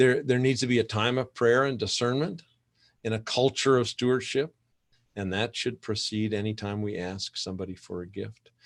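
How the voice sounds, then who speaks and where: A man talks in an ordinary speaking voice of medium pitch, with ordinary pitch variation at a moderate pace. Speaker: conference presenter, church fundraising consultant. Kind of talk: conference presentation.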